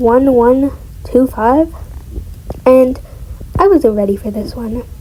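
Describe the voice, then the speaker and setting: A woman talks at a fairly slow pace with a high pitch and ordinary pitch variation. Noticeable background noise runs underneath. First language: not English. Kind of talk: casual reading of online story with reactions.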